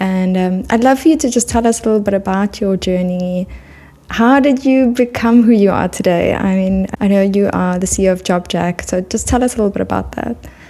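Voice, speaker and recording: Her tone dark and mellow, a woman of medium pitch talks at a fairly quick pace with ordinary pitch variation. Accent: South African. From South Africa. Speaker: podcast host. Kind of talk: interview. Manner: animated.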